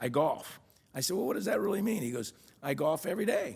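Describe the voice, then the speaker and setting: A man talks at a very fast pace with an American accent. His intonation is lively, with vocal fry throughout. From Miami, Florida. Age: 60s. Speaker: real estate executive. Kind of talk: interview conversation. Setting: studio. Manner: halting.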